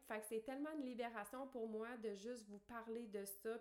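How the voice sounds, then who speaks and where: This woman has a fairly high pitch and speaks in a Quebec accent. Her pitch varies in an ordinary way. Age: 30s. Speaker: podcast host, life coach. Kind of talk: personal monologue. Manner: hesitant fillers.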